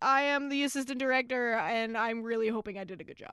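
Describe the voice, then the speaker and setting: Speaking at a moderate pace, a woman uses a raised, projected voice. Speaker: podcast co-host. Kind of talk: casual chat.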